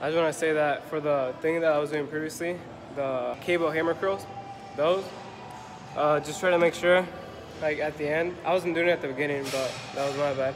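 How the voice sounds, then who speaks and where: Noticeable background noise sits under the recording. A man speaks with fairly even intonation. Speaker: fitness vlogger. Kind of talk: casual vlog chat. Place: gym. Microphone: phone near.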